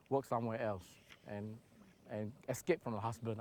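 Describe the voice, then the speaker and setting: Talking at a fairly quick pace, a man uses a medium pitch with a Singaporean accent. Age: 60s. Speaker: charity founder. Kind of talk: documentary interview. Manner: hesitant.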